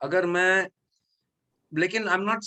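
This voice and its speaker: We hear a man. He sounds bright and sharp. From Mumbai, India. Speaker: actor. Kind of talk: interview. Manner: halting.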